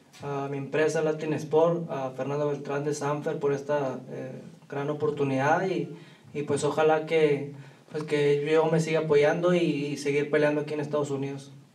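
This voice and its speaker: A man talking at a very fast pace, fairly high-pitched, with monotone, flat intonation and audible room echo. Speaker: professional boxer. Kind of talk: press conference.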